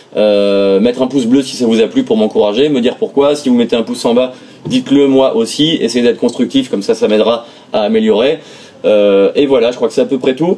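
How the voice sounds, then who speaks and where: Noticeable background noise sits under the speech. The intonation is lively. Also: man, medium pitch for a man, fairly quick pace. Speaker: music producer and tech reviewer. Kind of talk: product review. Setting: home studio. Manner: fast; many hesitations (euh).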